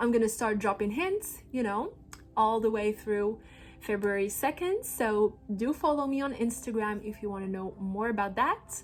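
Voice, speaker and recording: A woman with a non-native accent and ordinary pitch variation. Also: fairly high pitch for a woman, moderate pace. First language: not English. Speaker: holistic astrologer. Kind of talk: astrology forecast monologue. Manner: animated.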